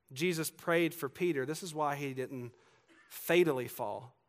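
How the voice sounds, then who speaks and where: A man with a Southern US accent at a fairly slow pace, ordinary pitch variation, and a very clean recording with a silent background. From US South, Georgia. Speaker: pastor. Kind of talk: sermon.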